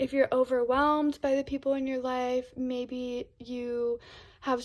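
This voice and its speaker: The woman speaking has a high pitch. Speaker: tarot reader. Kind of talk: pick-a-card tarot reading. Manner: monotone; relaxed, with filler words.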